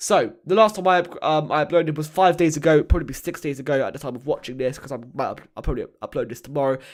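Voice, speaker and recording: Putting on a raspy character voice, a man speaks at a very fast pace with a fairly high pitch. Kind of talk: casual YouTube vlog.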